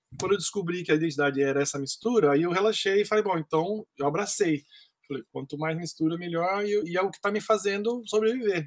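The sound is dry and close with no echo. A high-pitched man talks at a fairly quick pace with ordinary pitch variation. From Brazil, Campinas (São Paulo state). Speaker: percussionist. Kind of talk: interview.

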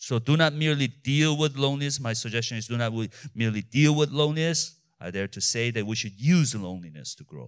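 With a non-native accent, a man speaks very fast at a medium pitch with lively intonation, on a very clean recording with a silent background. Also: big swings in loudness. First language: not English. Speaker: pastor. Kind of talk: sermon. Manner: halting.

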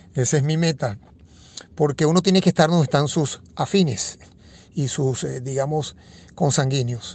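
Somewhat breathy, a man speaks at a moderate pace with a fairly high pitch and ordinary pitch variation. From Venezuela, Caracas. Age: 50s. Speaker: economist. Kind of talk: interview.

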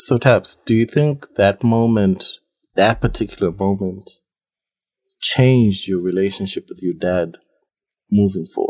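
With a Zimbabwean accent, a man talks fairly slowly at a fairly low pitch with ordinary pitch variation and long, frequent pauses, the sound dry and close with no echo. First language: Shona. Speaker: artist. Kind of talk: casual chat.

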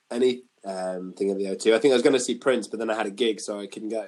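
A man with a northern English accent. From northern England. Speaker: guitarist and podcast host. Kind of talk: casual chat.

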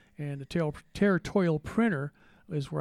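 Over a very clean recording with a silent background, a voice with an American accent moves at a fairly quick pace in a dark, mellow tone. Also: man. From Texas. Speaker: retired phone company worker and municipal judge. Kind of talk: interview. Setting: studio. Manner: halting, many fillers.

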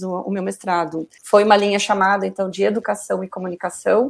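In a normal speaking voice, a woman talks at a moderate pace and medium pitch with ordinary pitch variation. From Paraná, southern Brazil. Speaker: communication professor. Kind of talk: interview.

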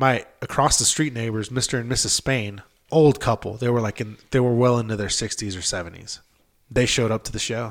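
The talking is fairly quick, with fairly even intonation. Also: man, medium pitch for a man. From Southern California (San Bernardino area). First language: Spanish. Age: 20s. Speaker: drummer. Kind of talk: casual chat.

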